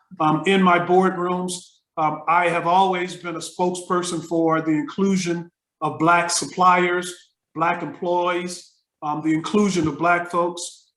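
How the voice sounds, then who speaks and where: A man with a high pitch and an American accent speaks in a flat monotone at a fairly slow pace, with audible room echo. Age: 60s. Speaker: retired business professor. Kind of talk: interview. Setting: video call.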